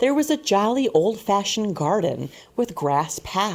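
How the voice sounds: Someone reads in a natural reading voice. The delivery stays a natural reading voice throughout.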